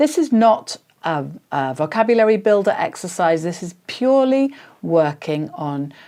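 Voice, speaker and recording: Her tone dark and mellow, a woman at a medium pitch talks at a moderate pace with very wide pitch swings. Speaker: English teacher. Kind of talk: tutorial. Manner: hesitant, many fillers.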